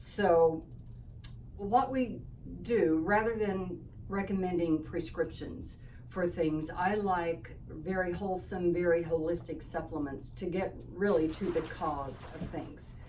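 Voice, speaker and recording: Speech comes at a very slow pace, with noticeable background noise and audible room echo. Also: woman, fairly low pitch for a woman, ordinary pitch variation. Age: 70s. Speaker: holistic health practitioner. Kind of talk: informational talk to camera. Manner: casual with fillers.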